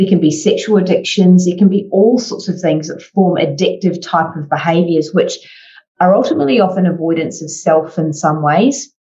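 Here is a woman with an ordinary speaking voice, fairly low in pitch. She keeps a moderate pace and ordinary pitch variation. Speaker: podcast host. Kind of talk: interview conversation.

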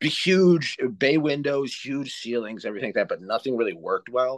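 A man with a plain, everyday voice speaks at a moderate pace with lively intonation, the sound dry and close with no echo. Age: 40s. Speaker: author and podcaster. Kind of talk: interview.

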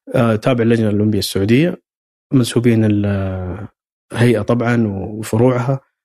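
The speaker is a man. His tone is dark and mellow. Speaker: sports institute director and football coach. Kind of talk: interview. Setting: institute office. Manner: halting, repeated words.

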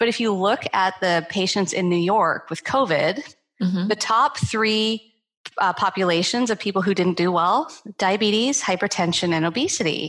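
With very even loudness, a woman speaks at a moderate pace and medium pitch in an unremarkable speaking voice, using ordinary pitch variation. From Canada. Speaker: sleep medicine doctor. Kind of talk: interview.

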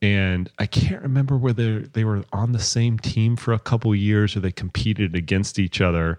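A man with an unremarkable speaking voice talks at a moderate pace and fairly low pitch, with ordinary pitch variation. His loudness stays very even, and the sound is dry and close with no echo. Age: 40s. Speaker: running coach and podcast host. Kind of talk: casual chat. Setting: in person.

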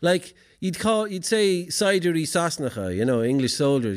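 An Irish-accented man at a moderate pace, his pitch swinging very widely, on a very clean recording with a silent background. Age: 40s. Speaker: poet and event host. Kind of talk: live event hosting with poetry performance. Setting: stage with audience. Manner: halting.

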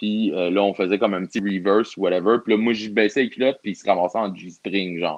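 Speaking at a fairly quick pace with hardly any pauses, a man uses a plain, everyday voice that sits fairly low in pitch and keeps a fairly even intonation. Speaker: pro wrestler. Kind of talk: casual chat.

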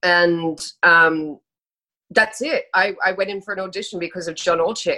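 Speaking with an Australian accent, a woman uses a medium pitch and a bright, sharp tone. Her pace is moderate and her intonation fairly even. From Australia (Sydney, then Brisbane). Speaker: actress. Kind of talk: casual chat.

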